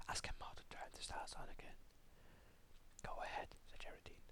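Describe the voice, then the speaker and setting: A man whispers at a moderate pace. His tone is soothing. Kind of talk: whispered story reading. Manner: whispered, soft, soothing.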